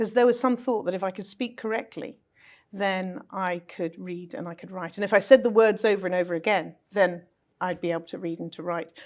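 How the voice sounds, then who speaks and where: A speaker with a British accent talks at a fairly quick pace, with ordinary pitch variation and big swings in loudness. The recording is very clean, with a silent background. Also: woman, medium pitch for a woman. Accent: British accent, noticeable. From London, England. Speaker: speech coach. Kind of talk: interview conversation. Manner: polished, elocution-trained.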